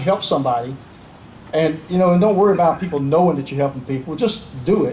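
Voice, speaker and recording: Against noticeable background noise, a man talks at a fairly high pitch with ordinary pitch variation. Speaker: retired army general, keynote speaker. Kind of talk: patriotic public speech.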